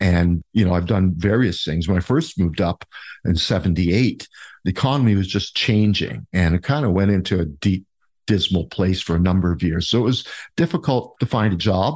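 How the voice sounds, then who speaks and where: Speaking with an Ontario accent at a moderate pace, the voice has ordinary pitch variation and very even loudness. The sound is dry and close with no echo, against a quiet background. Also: man, very deep, low pitch for a man. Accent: Canadian (Ontario). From Ontario, Canada (Niagara Falls). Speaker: mayoral candidate and local business owner. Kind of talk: interview.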